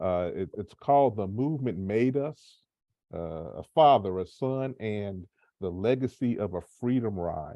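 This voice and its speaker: A man with a Memphis accent, fairly low-pitched, at a fairly slow pace. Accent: US Southern (Memphis). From Memphis, Tennessee. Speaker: nonprofit community manager moderating an author talk. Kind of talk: moderated panel discussion. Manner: halting, many fillers.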